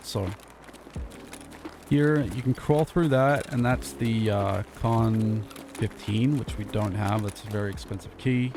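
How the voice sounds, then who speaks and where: Amid noticeable background noise, a man with a medium pitch and lively intonation speaks with long, frequent pauses. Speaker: gaming video creator. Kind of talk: gameplay commentary. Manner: casual.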